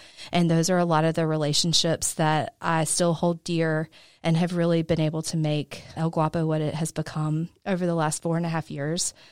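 Speaking with an American accent, a woman keeps a moderate pace with hardly any pauses, her fairly low pitch held in a monotone, flat intonation, the sound dry and close with no echo. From US South, southwest Georgia. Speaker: business owner. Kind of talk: interview. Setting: studio.

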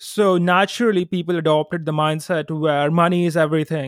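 Speech at a fairly quick pace comes through in a very clean recording with a silent background and a dry, close sound with no echo. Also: man. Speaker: chartered accountant and online influencer. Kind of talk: casual interview chat. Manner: smooth, confident.

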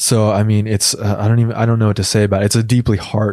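A man's fairly low-pitched voice in a very clean recording with a silent background. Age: 30s. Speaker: online community manager. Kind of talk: conversational interview. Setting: studio. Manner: halting, frequent repetitions.

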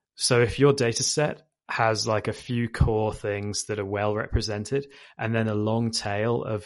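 Speaking at a moderate pace, a man with a British accent keeps a monotone, flat intonation. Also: quiet background. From UK. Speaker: machine learning engineer. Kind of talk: interview. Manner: hesitant with fillers.

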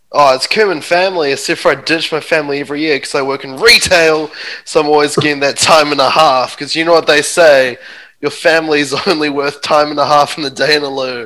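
Speaking at a very fast pace with a New Zealand accent, a man keeps a fairly high pitch, a bright, sharp tone and fairly even intonation. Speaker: stand-up comedian. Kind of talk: casual chat. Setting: video call.

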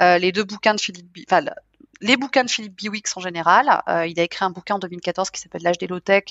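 A woman talks at a fairly quick pace, with medium pitch and fairly even intonation. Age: 40s. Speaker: software industry executive. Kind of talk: interview. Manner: hesitant, frequent fillers.

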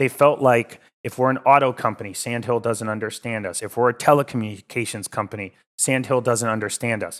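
A man with an American accent talks at a fairly quick pace in an unremarkable speaking voice, medium in pitch, with fairly even intonation. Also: very clean recording, silent background. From Connecticut, US. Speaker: venture capital investor. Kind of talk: podcast interview.

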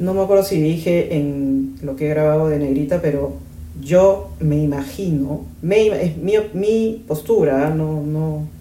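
Through audible room echo, a woman's very deep, low voice carries a dark, mellow tone and ordinary pitch variation. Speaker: podcast host, branding consultant. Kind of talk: casual commentary monologue. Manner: animated.

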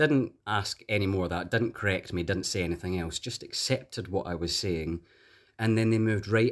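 In a very clean recording with a silent background, a man with a Glasgow accent talks fairly quickly in a fairly low voice. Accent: Glasgow Scottish. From Scotland. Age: young. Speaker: detransitioner sharing personal story. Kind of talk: interview.

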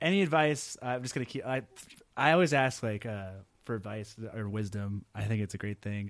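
A normal speaking voice from a man with an American accent, medium in pitch with ordinary pitch variation, at a fairly quick pace in a very clean recording with a silent background. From Texas (Arlington, Houston). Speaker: podcast interviewer. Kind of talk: interview conversation. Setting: on a university campus. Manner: casual, stumbling.

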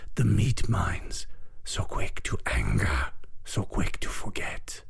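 Noticeable background noise sits behind a man's raspy, put-on character voice. He talks at a fairly slow pace. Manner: menacing, taunting.

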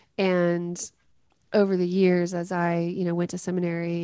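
Speaking with a Southern US accent, a woman with a fairly low voice and a dark, mellow tone keeps her intonation fairly even against a quiet background. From US South, West Tennessee. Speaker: pastor and author. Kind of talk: interview.

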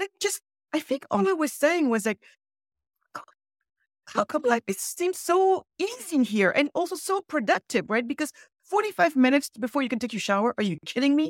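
A woman's high voice ranges through very wide pitch swings. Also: fairly quick pace, dry, close sound with no echo. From Senegal. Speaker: entrepreneur and author. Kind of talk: interview conversation with storytelling. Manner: animated, conversational with many fillers.

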